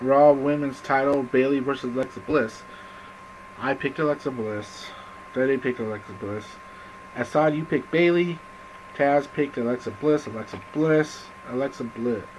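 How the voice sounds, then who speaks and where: Noticeable background noise sits behind a man with a medium-pitched voice. He leaves long, frequent pauses. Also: ordinary pitch variation, moderate pace. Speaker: wrestling fan vlogger. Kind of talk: casual video monologue. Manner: halting, many fillers.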